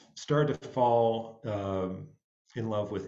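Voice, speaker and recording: The recording has audible room echo as a man speaks at a fairly low pitch with ordinary pitch variation. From upstate New York. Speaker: jazz musician and music director. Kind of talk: panel talk. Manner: halting, many fillers.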